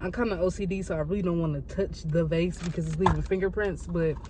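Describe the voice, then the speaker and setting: Speaking at a very fast pace, a woman comes through dry sound with no echo over noticeable background noise. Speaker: vlogger. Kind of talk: casual vlog chat. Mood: rushed but cheerful. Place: street. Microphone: phone near.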